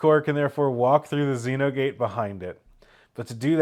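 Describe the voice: The speaker reads aloud plainly. Intonation holds fairly even.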